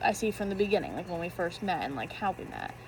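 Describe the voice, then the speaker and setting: Vocal fry runs through a woman's medium-pitched voice, which has ordinary pitch variation. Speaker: youtuber. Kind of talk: casual chat. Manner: halting.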